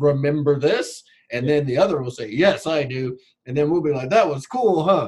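Somewhat breathy and animated, a man with an American accent speaks at a moderate pace and fairly high pitch, his intonation lively. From US West Coast, Long Beach, California. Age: 30s. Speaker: podcast guest. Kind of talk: casual chat. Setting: video call. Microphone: poor audio quality.

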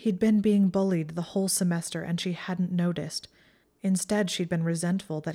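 Reading aloud in a natural voice, the speaker keeps a fairly even intonation.

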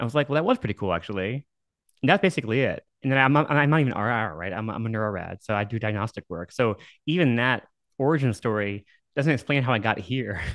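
Over a quiet background, a man with an American accent speaks at a very fast pace, medium in pitch with lively intonation. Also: dry, close sound with no echo. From Dallas, Texas. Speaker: neuroradiologist. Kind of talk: interview conversation.

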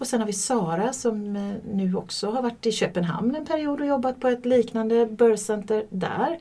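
A woman talks with normal pitch movement at an even, medium speed while clear background noise runs underneath. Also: fairly high pitch for a woman. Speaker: midwife. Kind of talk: casual interview. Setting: studio, shared microphone.

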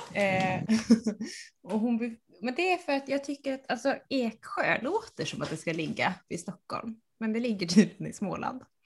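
A woman's somewhat breathy, fairly high voice moves at a fairly slow pace through very wide pitch swings. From Sweden, central Uppsala. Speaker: podcast co-host, knitter. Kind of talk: casual chat.

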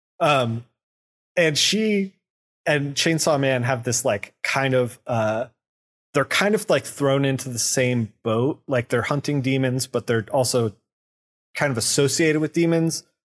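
A plain, everyday voice from a man, medium in pitch with ordinary pitch variation, fairly slow, very even in loudness, in a dry, close sound with no echo. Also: very clean recording, silent background. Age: 40s. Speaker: comic book podcast co-host. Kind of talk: casual chat.

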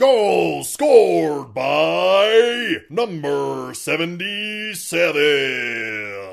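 Putting on a character voice, a man sounds raspy at a fairly high pitch. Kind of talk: announcer voice.

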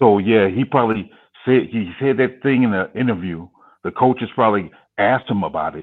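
Here a man uses a normal speaking voice at medium pitch. He moves at a fairly quick pace with ordinary pitch variation. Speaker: football fan guest. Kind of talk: casual chat.

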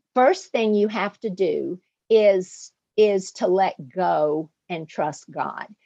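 Speaking very slowly with a Southern US accent, a woman uses a medium pitch, ordinary pitch variation and a dark, mellow tone, captured in a dry, close recording with no echo. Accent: southern US drawl. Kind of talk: interview.

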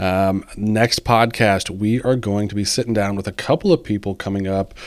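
A man with a plain, everyday voice and a fairly low pitch speaks at a moderate pace with fairly even intonation. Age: 40s. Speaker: podcast host, real estate agent. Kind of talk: casual interview chat.

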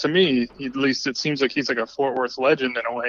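A man's unremarkable speaking voice, medium in pitch, at a fairly quick pace. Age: 30s. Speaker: filmmaker. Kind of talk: casual interview.

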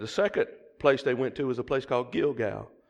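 A man of medium pitch speaks with a Southern US accent and lively intonation against a quiet background. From US South. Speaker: preacher. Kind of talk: sermon. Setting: church. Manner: animated.

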